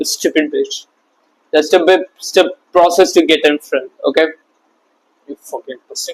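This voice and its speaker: A non-native accent at a fairly slow pace, in a dry, close sound with no echo. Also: man. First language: not English. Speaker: self-improvement YouTuber. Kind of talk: motivational talk to camera. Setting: talking to camera. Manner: animated.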